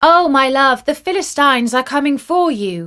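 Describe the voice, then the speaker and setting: A put-on character voice comes through at a moderate pace with lively intonation on a very clean recording with a silent background. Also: woman, high pitch for a woman. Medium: read story.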